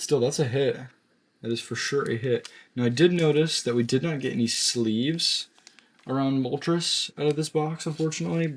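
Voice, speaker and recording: The voice is quiet and moves at a moderate pace. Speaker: pokemon card pack opener. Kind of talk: casual pack opening video. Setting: home at night.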